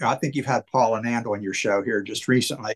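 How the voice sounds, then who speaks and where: In a normal speaking voice, a man at medium pitch talks with fairly even intonation against a quiet background, the sound dry and close with no echo. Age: 60s. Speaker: wrestling card collector. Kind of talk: casual chat.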